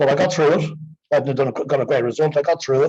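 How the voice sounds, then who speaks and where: In an Irish accent, a man speaks somewhat breathily with ordinary pitch variation. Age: 60s. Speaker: exercise programme participant. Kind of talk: testimony.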